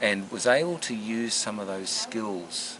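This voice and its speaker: A man speaks over noticeable background noise. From Australia. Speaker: former diplomat. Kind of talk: reunion interview.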